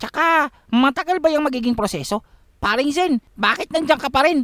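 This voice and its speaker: Using a put-on character voice, a man talks at a moderate pace with ordinary pitch variation. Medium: read story. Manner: chatty, joking, complaining.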